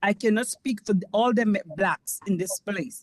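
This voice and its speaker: A woman speaks at a moderate pace in a medium pitch, her voice somewhat breathy, with a dry, close sound and no echo. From Caribbean. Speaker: community board member. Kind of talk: public meeting comment. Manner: passionate, rising voice.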